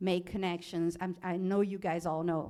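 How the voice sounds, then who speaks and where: A medium-pitched woman's voice in a Portuguese accent on a very clean recording with a silent background. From Brazil. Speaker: animal law specialist, alumni panelist. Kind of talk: panel talk about career path. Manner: halting, many restarts.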